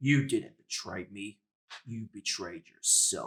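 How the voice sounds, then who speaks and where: A man's put-on character voice, rumbling and medium in pitch, at a fairly slow pace. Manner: grave, disappointed.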